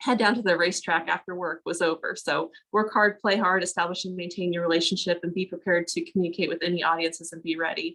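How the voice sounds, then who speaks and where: This woman talks at a very fast pace in a fairly low pitch, her intonation monotone and flat. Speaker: panelist, education administrator. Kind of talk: panel discussion.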